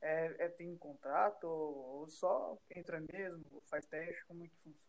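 The man speaks at a high pitch with fairly even intonation. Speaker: podcast host. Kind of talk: casual interview.

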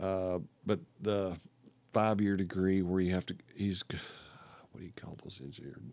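A man with a Texan accent, very deep and low, at a moderate pace with fairly even intonation and long, frequent pauses. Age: 60s. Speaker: retired woodworking hobbyist, accident survivor. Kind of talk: casual interview. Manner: halting, repetitive.

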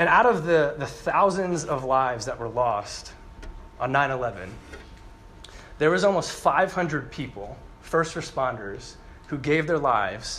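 Speaking with an American accent and lively intonation, a man talks at a fairly slow pace in a fairly high pitch, with audible room echo. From US Northeast, New Jersey. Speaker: campus preacher. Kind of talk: sermon. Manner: conversational, engages audience.

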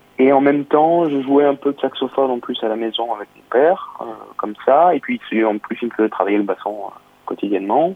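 A man at medium pitch with ordinary pitch variation, speaking at a fairly quick pace over noticeable background noise. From southern France, Nice. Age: 20s. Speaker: saxophonist. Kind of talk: interview. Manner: hesitant.

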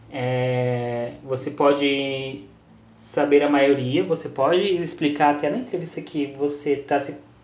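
Very slowly, a man delivers his words with fairly even intonation. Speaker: podcast co-host. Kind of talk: casual chat.

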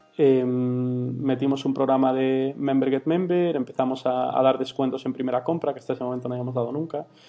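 Man at medium pitch with monotone, flat intonation and hardly any pauses, music in the background. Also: fairly quick pace. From Galicia, Spain (Vigo). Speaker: startup founder. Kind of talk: interview. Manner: halting, many fillers.

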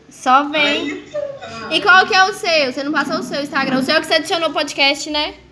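Raising and projecting her voice over noticeable background noise, a woman speaks at a high pitch and moderate pace with ordinary pitch variation. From southern Minas Gerais, Brazil. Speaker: streamer chatting with strangers online. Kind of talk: casual chat. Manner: animated.

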